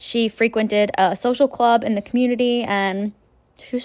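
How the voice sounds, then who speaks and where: An unremarkable speaking voice carries a Canadian accent. It moves at a fairly slow pace with ordinary pitch variation. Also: woman. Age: 20s. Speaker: true crime podcaster. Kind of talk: casual true crime narration. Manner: casual, with frequent fillers.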